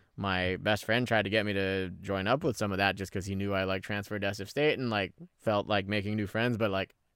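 A man's fairly low, monotone voice with a Californian accent, flat in intonation and fairly quick, in a very clean recording with a silent background. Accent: Californian American English. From San Francisco Bay Area, California (born in the Philippines). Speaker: podcast co-host. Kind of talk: casual chat.

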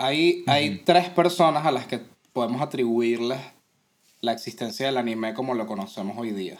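Medium in pitch, a man speaks at a moderate pace. His pitch variation is ordinary. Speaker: podcast co-host. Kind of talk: casual chat.

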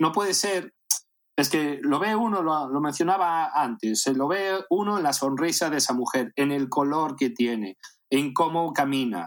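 This recording is very clean, with a silent background. A man with a plain, everyday voice and fairly high pitch talks at a fairly slow pace with lively intonation. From Spain, A Coruña (raised from age eight, born in Caracas). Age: 40s. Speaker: adult film actor. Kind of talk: casual interview.

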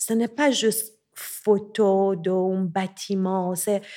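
A dark, mellow tone at a very slow pace, in a Persian accent, on a very clean recording with a silent background. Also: woman. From Iran, Tehran. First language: Persian (speaking French). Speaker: visual artist. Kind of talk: interview conversation. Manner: halting.

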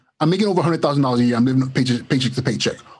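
Somewhat breathy, a man with an American accent speaks with ordinary pitch variation. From Los Angeles, Nigerian-born. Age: 40s. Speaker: educator. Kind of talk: casual interview.

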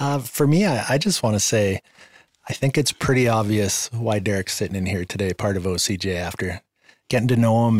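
A man speaks at a fairly quick pace and medium pitch, in an unremarkable speaking voice. The sound is dry and close, with no echo. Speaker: person in recovery from addiction. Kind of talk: testimony.

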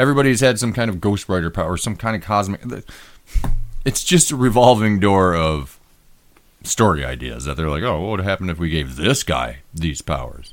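With an American accent, a man speaks in a very deep, low pitch with vocal fry and very wide pitch swings. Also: fairly quick pace. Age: middle-aged. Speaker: podcast host. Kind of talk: casual banter. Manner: joking, irreverent.

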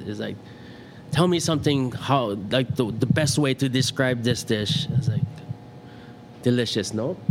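Noticeable background noise sits under speech at a moderate pace with ordinary pitch variation. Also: man. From Hilo, Hawaii. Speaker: chef. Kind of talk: casual interview chat.

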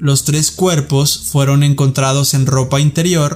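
With fairly level intonation, an unremarkable speaking voice proceeds at a rather unhurried pace. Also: man. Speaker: podcast host. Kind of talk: true-crime narration. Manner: measured, serious storytelling.

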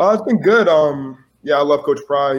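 A moderately paced male voice, fairly high-pitched with ordinary pitch variation, an unremarkable speaking voice. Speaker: college football player. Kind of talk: interview.

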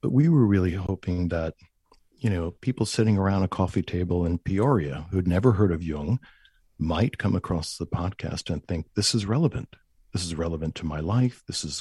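A man with an American accent speaks in a very deep, low voice with a dark, mellow tone, somewhat breathy. The sound is dry and close with no echo, on a very clean recording with a silent background. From New York, Long Island. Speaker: Jungian analyst. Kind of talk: interview conversation.

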